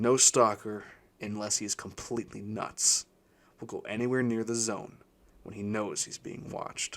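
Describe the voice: Intonation stays fairly even throughout. The delivery is plain reading aloud.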